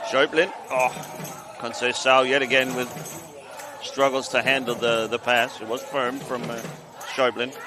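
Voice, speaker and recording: A man's medium-pitched, monotone voice at a moderate pace, with long, frequent pauses and music in the background. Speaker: sports commentator. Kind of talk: live commentary.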